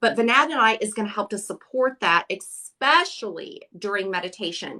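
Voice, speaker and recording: Bright and sharp, a woman's fairly high voice carries an animated tone. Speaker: crystal seller and crystal healing expert. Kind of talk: casual live-stream chat. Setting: live stream broadcast.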